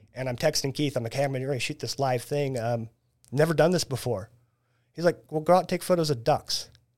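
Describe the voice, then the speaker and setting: A man talks at a fairly quick pace in a normal speaking voice, pitched fairly high with ordinary pitch variation. The recording is very clean, with a silent background. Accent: American. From Central Illinois, US Midwest. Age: 40s. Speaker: band photographer. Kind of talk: casual chat.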